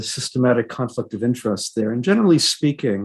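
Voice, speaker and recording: A man speaks quite quickly at a medium pitch. His is a plain, everyday voice. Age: 60s. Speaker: professor and historian. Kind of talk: panel discussion.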